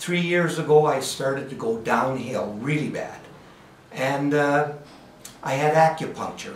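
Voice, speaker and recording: With a Canadian accent, a man speaks at a fairly slow pace with ordinary pitch variation, amid noticeable background noise and audible room echo. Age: 70s. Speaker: patient giving testimonial. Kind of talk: testimony. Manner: halting, many fillers.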